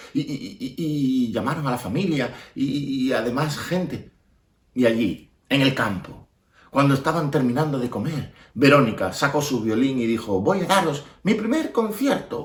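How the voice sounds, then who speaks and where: This man's voice sits fairly high in pitch, somewhat breathy, with lively intonation. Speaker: storyteller. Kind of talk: children's storytelling. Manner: expressive, repetitive.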